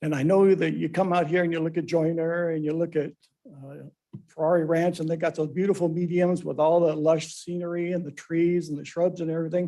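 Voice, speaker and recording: This man speaks at a fairly quick pace with a high pitch and a dark, mellow tone. His intonation stays flat and monotone. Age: 70s. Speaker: public commenter at city council. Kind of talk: public comment.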